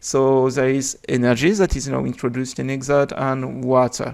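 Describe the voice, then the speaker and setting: The speech comes at a fairly slow pace in a French accent, captured in a very clean recording with a silent background. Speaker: game developer. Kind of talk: unscripted video explanation. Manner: hesitant, many filler sounds.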